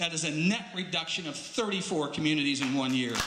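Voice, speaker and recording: A man with ordinary pitch variation, amid noticeable background noise and audible room echo. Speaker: political activist speaker. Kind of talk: public speech. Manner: fast.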